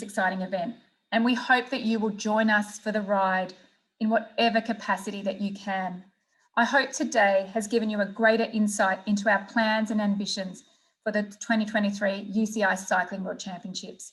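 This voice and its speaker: A woman speaks in an Australian accent at a fairly high pitch, somewhat breathy. Her intonation stays fairly even at a moderate pace over a quiet background. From Australia, Melbourne. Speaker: sports event executive. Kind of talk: conference presentation; interview answers. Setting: virtual conference. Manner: formal.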